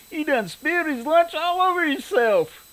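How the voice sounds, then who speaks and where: Someone does a put-on character voice at a moderate pace. The delivery includes cackling. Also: man, extremely high pitch for a man. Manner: laughing, cackling, taunting.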